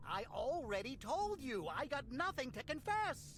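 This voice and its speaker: A put-on character voice carries a nervous tone at a moderate pace. Clear background noise is present. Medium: video game. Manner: nervous, stammering.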